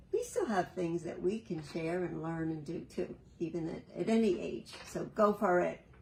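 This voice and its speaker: A woman speaks at a fairly low pitch and a moderate pace, with hardly any pauses. Her intonation stays fairly even over noticeable background noise. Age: 70s. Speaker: senior interviewee. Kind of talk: interview answer.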